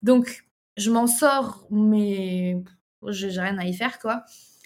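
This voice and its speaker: A woman speaks in a somewhat breathy voice. Her pitch shows ordinary variation. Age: 20s. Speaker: entrepreneur. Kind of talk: casual interview.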